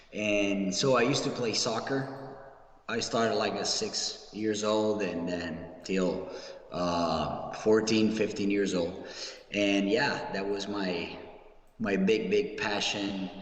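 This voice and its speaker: Amid audible room echo and noticeable background noise, a man with an Italian accent speaks very slowly at a fairly low pitch with ordinary pitch variation. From Italy, Rome. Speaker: professional wrestler. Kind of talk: interview.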